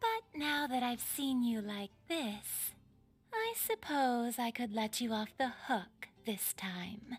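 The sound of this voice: A female-sounding put-on character voice, high-pitched and very slow, with hissing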